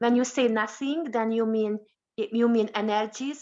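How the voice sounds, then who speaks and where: A woman with a non-native accent speaks at a moderate pace in a fairly high pitch, with ordinary pitch variation and a quiet background. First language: not English. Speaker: meeting participant. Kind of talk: asking a question. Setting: online meeting. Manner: halting.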